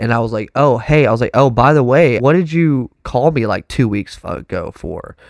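Speaking at a moderate pace with a Texan accent, a man uses vocal fry, lively intonation and an animated tone, recorded with a dry, close sound with no echo, very clean with a silent background. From Texas. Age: 20s. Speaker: professional drummer. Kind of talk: casual chat. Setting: studio.

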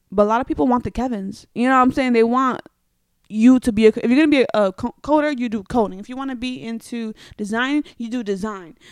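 Speech comes very fast with ordinary pitch variation. The sound is dry and close with no echo, on a very clean recording with a silent background. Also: woman, fairly high pitch for a woman, big swings in loudness. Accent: New York. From New York, the Bronx. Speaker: podcaster. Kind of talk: casual chat. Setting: home studio in a Brooklyn brownstone.

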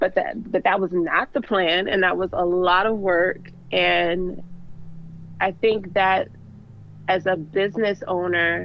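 Very slow and very even in loudness, a woman talks at a medium pitch with fairly even intonation. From Baltimore, Maryland, US. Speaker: fashion designer. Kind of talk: interview.

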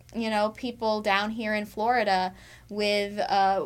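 This woman's voice sits at a medium pitch. Her intonation stays monotone and flat. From US, military family, moved around. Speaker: TV meteorologist. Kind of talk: casual interview.

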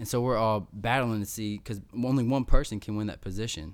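In an unremarkable speaking voice, a man talks at a fairly quick pace with fairly low pitch and fairly even intonation, on a very clean recording with a silent background. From Missouri, US Midwest. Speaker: war veteran and motivational speaker. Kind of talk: casual interview. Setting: in person, same room as host.

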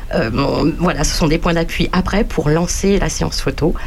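A woman's fairly low voice at a fairly slow pace, ordinary pitch variation, and noticeable background noise. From Paris region. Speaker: artist and photographer. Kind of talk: casual radio chat.

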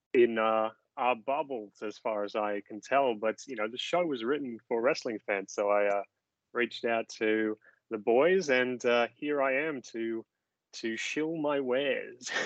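A man's medium-pitched voice in an Australian accent, at a very slow pace. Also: ordinary pitch variation. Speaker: podcast guest, musical theatre writer.

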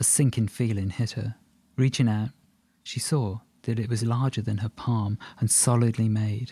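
A natural reading voice, intonation fairly even throughout

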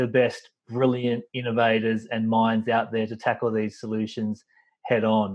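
The speaker talks in an Australian accent with monotone, flat intonation. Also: man. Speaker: podcast host. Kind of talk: interview conversation.

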